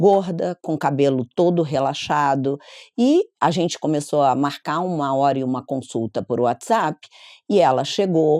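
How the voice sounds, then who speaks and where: Dry and close with no echo in a very clean recording with a silent background, a woman's very deep, low, dark, mellow voice moves at a fairly slow pace with lively intonation. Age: 60s. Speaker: psychologist. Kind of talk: interview.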